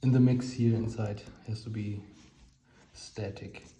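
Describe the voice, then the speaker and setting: In a German accent, a man with a somewhat breathy, dark, mellow tone speaks slowly in a monotone, flat intonation amid audible room echo. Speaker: hobbyist explaining electronics theory. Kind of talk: informal technical explanation. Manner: halting.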